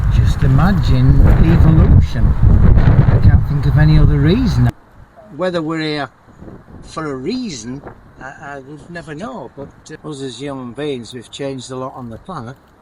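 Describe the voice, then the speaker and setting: Noticeable background noise sits behind a man speaking at a moderate pace. His loudness swings a lot. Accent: British. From Britain. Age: 70s. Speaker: retiree. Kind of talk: interview answer.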